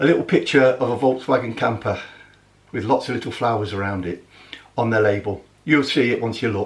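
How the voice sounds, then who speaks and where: A man with a Midlands accent at a fairly quick pace, medium pitch and ordinary pitch variation, over noticeable background noise. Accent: Midlands country. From English Midlands. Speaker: motorhome vlogger. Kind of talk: casual vlog talk. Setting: home kitchen.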